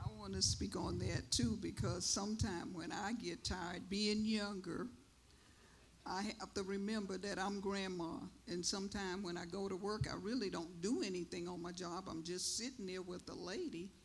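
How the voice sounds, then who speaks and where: There is audible room echo as a woman speaks at a moderate pace, with medium pitch and ordinary pitch variation. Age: 70s. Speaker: elder panelist, caregiver. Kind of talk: panel discussion. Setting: church stage.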